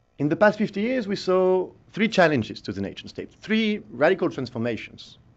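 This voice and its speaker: A man with a high voice, very wide pitch swings and a fairly quick pace. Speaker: visiting scholar. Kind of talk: lecture. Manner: halting, many fillers.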